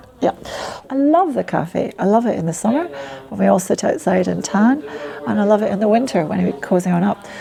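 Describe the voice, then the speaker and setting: Noticeable background noise sits behind the speaker. She is a woman talking at a fairly quick pace in a Scottish accent. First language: Polish. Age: 60s. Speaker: community ambassador. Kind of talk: interview.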